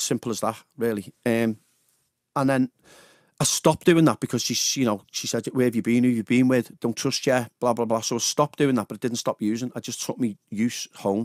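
With a Liverpool accent, a man talks in fairly even intonation, the sound dry with no echo and the background quiet. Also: medium pitch for a man, fairly quick pace. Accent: Liverpool (Scouse). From Liverpool, England. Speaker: radio DJ. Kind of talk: personal testimony in a radio interview. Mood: candid, reflective about addiction. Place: studio. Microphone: studio mic.

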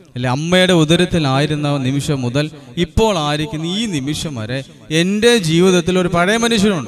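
A man is speaking, his pitch fairly high. The pitch moves in an ordinary way. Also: moderate pace.

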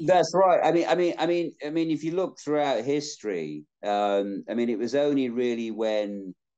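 A man with a Yorkshire accent talks at a moderate pace with lively intonation and hardly any pauses against a quiet background. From South Yorkshire, England. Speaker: actor. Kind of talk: interview answer. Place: home room. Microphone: video call.

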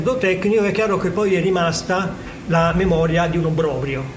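A man's voice over noticeable background noise. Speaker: geneticist. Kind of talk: interview. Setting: on location at a science festival.

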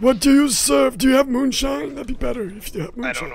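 A man's put-on character voice, extremely high-pitched, with very wide pitch swings, big jumps in loudness, a fairly quick pace and clear background noise. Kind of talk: comic old-man voice.

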